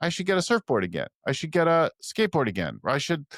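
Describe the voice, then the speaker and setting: Recorded very cleanly against a silent background, with a dry, close sound and no echo, a man talks at a fairly quick pace. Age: 60s. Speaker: business coach. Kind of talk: interview conversation. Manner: hesitant, many repetitions and fillers.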